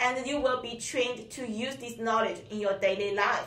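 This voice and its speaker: A woman with a Chinese accent speaks at a moderate pace in a fairly high voice with ordinary pitch variation, and the room echo is audible. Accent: Mandarin Chinese accent in English. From China. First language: Mandarin Chinese. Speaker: Mandarin teacher. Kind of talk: interview. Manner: halting, non-native phrasing.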